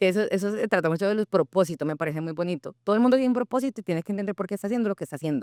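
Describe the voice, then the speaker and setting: A woman with a Colombian accent speaks very fast on a very clean recording with a silent background and a dry, close sound with no echo. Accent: Cali (caleño) Colombian Spanish. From Colombia, Cali. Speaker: founder of a platform for immigrant professionals. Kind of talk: interview conversation. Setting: radio studio.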